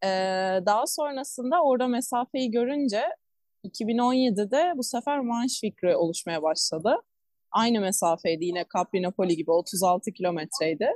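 A woman speaks fairly slowly in a fairly high voice, her pitch swinging very widely. Her loudness stays very even, and the sound is dry and close with no echo. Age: 20s. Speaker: marathon swimmer and swim coach. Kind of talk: interview.

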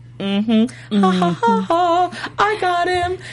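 Clear background noise runs under a put-on character voice. It sounds female, is fairly high-pitched and moves at a fairly slow pace. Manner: gloating, villainous.

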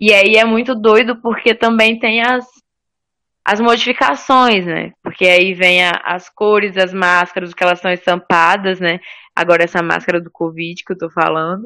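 Medium in pitch and bright, sharp in tone, a woman speaks at a moderate pace with ordinary pitch variation. The recording is very clean, with a silent background. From Espírito Santo, Brazil (Cariacica). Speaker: theatre podcast co-host. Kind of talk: casual chat.

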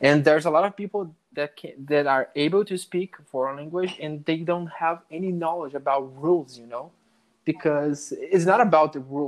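At a moderate pace, a man with a Portuguese accent and a fairly high pitch keeps fairly even intonation but shows big swings in loudness. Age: 20s. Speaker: network engineer, English learner. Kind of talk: casual interview conversation. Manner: halting, many restarts and fillers.

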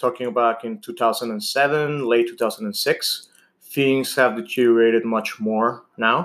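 With a Spanish accent, a man speaks at a very slow pace and medium pitch, showing ordinary pitch variation and big swings in loudness. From Venezuela. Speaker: type 1 diabetic patient advocate. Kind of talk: interview.

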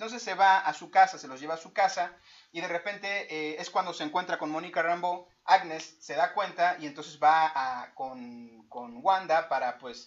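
Animated in tone and high-pitched, a man with a Mexican accent speaks at a moderate pace with ordinary pitch variation and big swings in loudness. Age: 30s. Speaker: podcast co-host. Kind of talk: casual chat.

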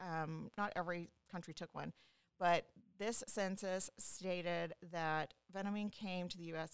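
A woman speaks in a plain, everyday voice with fairly low pitch and fairly even intonation. Her pace is fairly slow, and the sound is dry and close with no echo. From Louisiana, US South. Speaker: genealogist. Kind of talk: casual interview chat.

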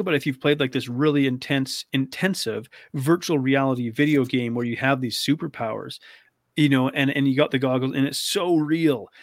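This very clean recording has a silent background. A man with a Canadian accent talks in an ordinary speaking voice at a moderate pace, with fairly even intonation. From Canada. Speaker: eating disorder expert, navy veteran. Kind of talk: casual interview chat.

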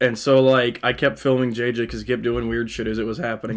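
With an American accent and an ordinary speaking voice, a man talks at a fairly quick pace, medium pitch and fairly even intonation. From Kansas and Texas. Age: 20s. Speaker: podcast co-host. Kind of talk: casual chat.

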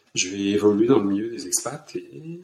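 With very wide swings in pitch, this man talks fairly slowly. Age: 60s. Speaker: finance director. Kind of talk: interview. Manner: halting.

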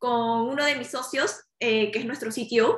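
A woman speaks at a high pitch with a Peruvian accent and a bright, sharp tone. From Peru, Lima. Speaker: startup founder. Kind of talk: interview.

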